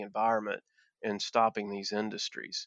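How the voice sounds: A man talks at a moderate pace with a fairly low pitch and fairly bright tone. The sound is dry and close with no echo.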